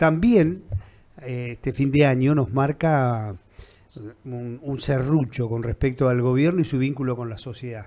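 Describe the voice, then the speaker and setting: A man talks at a very slow pace in a medium-pitched voice. His pitch varies in an ordinary way, with noticeable noise behind him. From Argentina, Viedma (Patagonia). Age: 60s. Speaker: interviewer. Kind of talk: interview.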